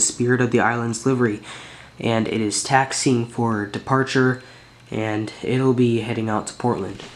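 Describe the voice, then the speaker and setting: A man speaks in a flat, monotone way. Light background noise can be heard. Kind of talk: casual hobby showcase narration. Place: home room. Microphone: phone near.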